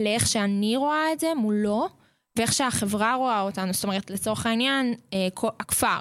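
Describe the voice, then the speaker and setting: Fairly high-pitched woman at a fairly quick pace, with ordinary pitch variation and very even loudness, in a very clean recording with a silent background. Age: 20s. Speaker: boarding school counselor. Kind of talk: radio interview. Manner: hesitant, many fillers.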